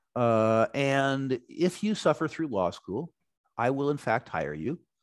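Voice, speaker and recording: Recorded dry and close with no echo against a quiet background, a man with an American accent speaks at a moderate pace and a medium pitch. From United States. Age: 60s. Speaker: resource investor. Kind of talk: interview.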